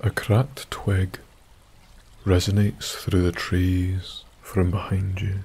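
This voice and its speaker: Very slow and monotone, a man with a very deep, low pitch speaks in a soothing, gentle tone with flat intonation. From Isle of Skye, Scotland. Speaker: sleep story narrator. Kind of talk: bedtime story, scripted sleep story narration in second person. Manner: soft-spoken, slow, soothing and gentle, hushed ASMR-style whisper-like delivery.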